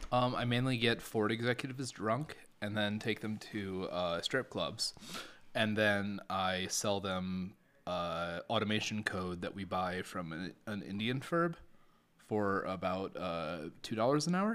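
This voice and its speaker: A normal speaking voice from a man, fairly low in pitch, fairly slow, with ordinary pitch variation. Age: 30s. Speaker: cloud automation engineer. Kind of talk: casual chat. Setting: in person, same room.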